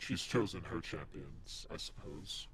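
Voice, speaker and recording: Clear background noise beneath a man's fairly slow, put-on character voice. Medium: actual play. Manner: smug, mocking, amused.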